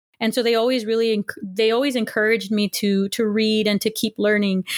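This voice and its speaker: An ordinary speaking voice from a woman, fairly high in pitch, in an American accent, on a very clean recording with a silent background. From Southern California, Los Angeles area. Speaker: history professor. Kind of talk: interview.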